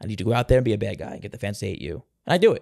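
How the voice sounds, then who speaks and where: A man with a New York accent speaks in an energetic tone. The recording is very clean, with a silent background. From New York City (Staten Island). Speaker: professional wrestler. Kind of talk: interview. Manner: fast.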